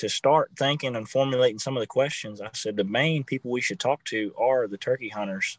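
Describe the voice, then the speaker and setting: This man has an unremarkable speaking voice with an American accent, a medium pitch and ordinary pitch variation. The background is quiet. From Virginia. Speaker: marketing director of conservation group. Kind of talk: casual interview.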